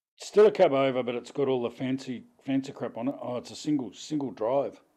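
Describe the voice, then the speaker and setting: A man with an Australian accent, medium pitch, dark and mellow tone, ordinary pitch variation, and a fairly quick pace. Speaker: gaming streamer. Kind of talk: live stream commentary. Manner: casual, halting with restarts.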